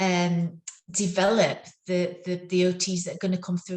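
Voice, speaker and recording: The woman's voice is somewhat breathy. She speaks at a fairly low pitch. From northern England. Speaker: neuro-occupational therapist. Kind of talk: interview. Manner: halting, many fillers.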